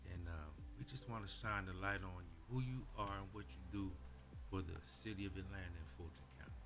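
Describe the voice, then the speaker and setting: A man with lively intonation at a moderate pace, with music in the background. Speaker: voice acting company owner. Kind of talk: interview host talk. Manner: casual.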